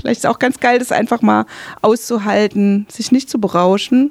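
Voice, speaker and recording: A woman speaks in an ordinary speaking voice with ordinary pitch variation. The sound is dry and close, with no echo. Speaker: radio host and interviewer. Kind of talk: interview conversation. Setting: radio studio.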